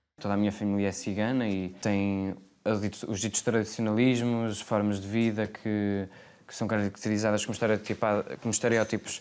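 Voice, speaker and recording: A man with a fairly low pitch delivers his words in a monotone, flat intonation. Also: moderate pace, very clean recording, silent background. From Portugal, Porto. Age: 20s. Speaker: actor. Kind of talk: interview. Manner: hesitant, many fillers.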